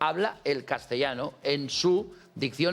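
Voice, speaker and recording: Background music plays throughout. Over it, a man talks with lively intonation. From Catalonia, born in Ciudad Real. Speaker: TV talk show host. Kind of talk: call-in debate show.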